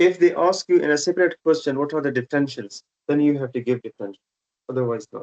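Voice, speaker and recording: A man speaks at a very fast pace with a Pashto accent. His fairly high voice has a dry, close sound with no echo. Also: ordinary pitch variation. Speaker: haematology teacher. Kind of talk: online teaching session.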